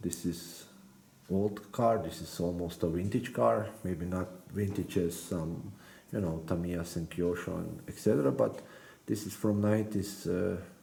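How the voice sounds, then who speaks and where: A man with a very deep, low pitch and a dark, mellow, somewhat breathy tone speaks at a fairly slow pace, with ordinary pitch variation. He leaves long, frequent pauses, and audible room echo surrounds him. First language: not English. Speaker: RC car hobbyist YouTuber. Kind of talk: build tutorial. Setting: workbench. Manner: halting, many hesitations and repeated words.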